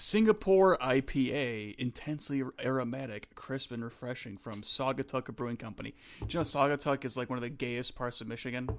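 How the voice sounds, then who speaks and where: Using a plain, everyday voice, a man with an American accent and a medium pitch talks at a fairly quick pace with ordinary pitch variation. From USA. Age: 20s. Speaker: podcast co-host. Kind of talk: casual chat.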